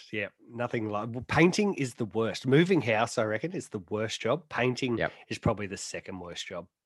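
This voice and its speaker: Lively intonation and a fairly quick pace mark this speaker with an Australian accent. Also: man, medium pitch for a man. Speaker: motorsport podcast host. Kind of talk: casual chat.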